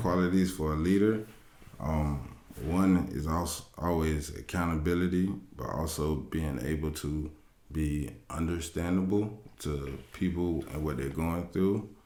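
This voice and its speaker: A soft-spoken man talks in a calm, dark, mellow tone with a very deep, low pitch. His pace is fairly slow, with ordinary pitch variation. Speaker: podcast panelist. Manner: soft-spoken, talks low, calm.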